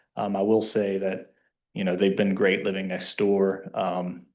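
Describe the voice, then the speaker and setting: A man speaks slowly-ish, at a fairly low pitch, in an American accent. His monotone, flat intonation comes with audible room echo and a fairly slow pace. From US South, Kentucky. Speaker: resident speaking at public comment. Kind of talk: public comment at town meeting. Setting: township council meeting.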